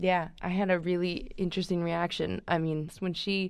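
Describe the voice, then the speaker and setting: An ordinary speaking voice, a woman at medium pitch with fairly even intonation and a fairly slow pace, on a very clean recording with a silent background. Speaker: podcast host and preacher. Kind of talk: casual conversation.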